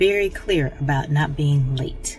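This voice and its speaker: A woman with a very deep, low pitch and ordinary pitch variation speaks over noticeable background noise. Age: 50s. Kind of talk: casual vlog talk to camera.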